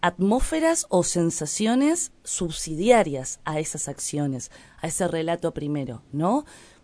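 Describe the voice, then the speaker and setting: A woman speaks at a very slow pace in a dark, mellow tone. Her pitch swings very widely. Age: 30s. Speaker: writer. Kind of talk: interview. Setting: studio.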